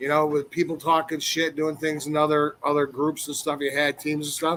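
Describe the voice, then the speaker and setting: This man has an ordinary speaking voice, fairly high in pitch for a man, delivered at a moderate pace. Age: 60s. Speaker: ex-professional wrestler. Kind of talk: casual chat.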